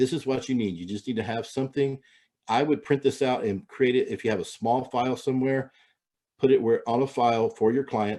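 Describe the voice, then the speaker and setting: The tone is dark and mellow, delivered at a fairly quick pace with fairly even intonation. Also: man, medium pitch for a man. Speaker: real estate agent and trainer. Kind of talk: training webinar. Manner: fast; halting, many fillers.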